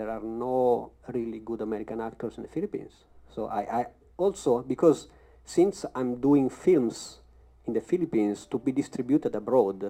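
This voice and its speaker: Speaking with a strong Italian accent, a man uses lively intonation and a dark, mellow tone. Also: medium pitch for a man, moderate pace. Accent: thick Italian. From Italy. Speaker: actor. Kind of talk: panel discussion.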